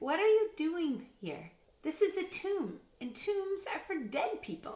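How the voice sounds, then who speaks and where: Putting on a character voice, a woman speaks fairly slowly at an extremely high pitch. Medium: read story. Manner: glad, reassuring.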